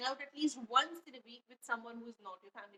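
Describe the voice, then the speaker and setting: Raised and projected, the voice has a bright, sharp tone, ordinary pitch variation and a very fast pace. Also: woman, dry, close sound with no echo. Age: 20s. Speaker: podcaster. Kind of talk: casual monologue podcast. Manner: conversational, chatty.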